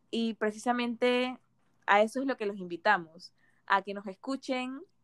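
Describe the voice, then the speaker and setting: Delivered at a fairly slow pace, a plain, everyday voice sounds dry and close with no echo. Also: woman. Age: 20s. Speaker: podcast host, nutrition student. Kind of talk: casual podcast intro.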